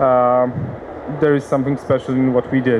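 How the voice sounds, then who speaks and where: A man with a Polish accent speaks in a fairly high pitch for a man, with noticeable background noise. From Poland, Warsaw. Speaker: company CEO, conference speaker. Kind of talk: conference presentation. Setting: conference seminar with audience. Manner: halting, many fillers.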